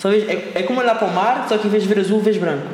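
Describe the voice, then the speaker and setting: A man talks at a very fast pace. The room echo is audible, and there is noticeable background noise. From Madeira, Portugal. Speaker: entrepreneur. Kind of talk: casual interview. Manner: halting, repetitive.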